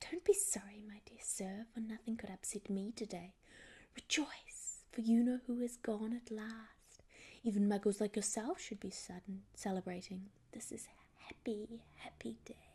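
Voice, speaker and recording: Squeaky and fairly high, a woman's put-on character voice moves at a moderate pace. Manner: gleeful, excited.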